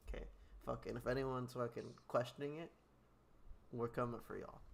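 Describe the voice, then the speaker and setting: A man talks at a fairly quick pace but leaves long, frequent pauses. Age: 20s. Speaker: wrestling podcast host. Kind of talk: casual chat. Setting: live stream. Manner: animated.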